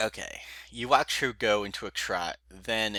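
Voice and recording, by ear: A natural voice reads aloud here.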